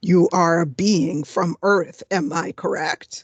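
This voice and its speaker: Growling in a put-on character voice, a woman speaks at a fairly low pitch and a fairly slow pace. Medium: actual play. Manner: aloof, superior.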